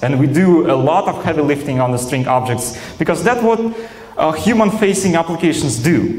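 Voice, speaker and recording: A man with a Russian accent talks at a moderate pace with lively intonation and a fairly high pitch. Audible room echo and noticeable background noise surround him. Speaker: software engineer, conference speaker. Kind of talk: conference talk. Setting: stage with audience. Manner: hesitant, many fillers.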